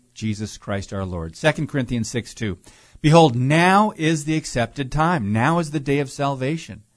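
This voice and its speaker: Speaking at a moderate pace, a man uses a normal speaking voice with lively intonation. The background is quiet. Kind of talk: talk radio discussion. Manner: many filler words.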